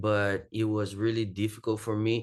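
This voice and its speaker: Against a quiet background, a man speaks at a fairly low pitch in a Portuguese accent with monotone, flat intonation. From Brazil. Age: 20s. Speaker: jiu-jitsu athlete and academy owner. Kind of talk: podcast interview. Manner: halting non-native phrasing.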